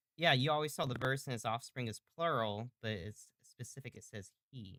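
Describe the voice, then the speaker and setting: Loud, bright and sharp, the voice moves at a moderate pace with ordinary pitch variation and a dry, close sound with no echo. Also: man, medium pitch for a man. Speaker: bible study leader. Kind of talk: interactive bible study. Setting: live stream.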